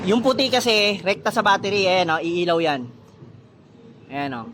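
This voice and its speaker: Shouting loudly at a fairly slow pace, a man's voice rings out at a high pitch. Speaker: motorcycle DIY vlogger. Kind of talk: tutorial. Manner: loud, nearly shouting; casual, halting.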